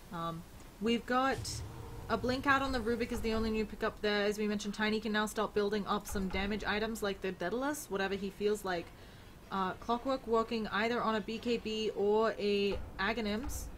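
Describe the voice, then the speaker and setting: Noticeable background noise sits behind a woman's voice. She talks at a fairly quick pace with fairly even intonation. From Australia. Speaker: esports caster. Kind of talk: live commentary. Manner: fast.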